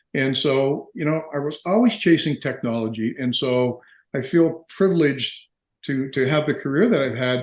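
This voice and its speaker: Here a man with an Ontario accent speaks at a moderate pace, fairly high in pitch. His pitch varies ordinarily against a quiet background. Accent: Canadian (Ontario). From Canada, Windsor, Ontario (Detroit-Windsor area). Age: 70s. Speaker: dental business executive, entrepreneur. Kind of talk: interview. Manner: hesitant, with frequent repetitions.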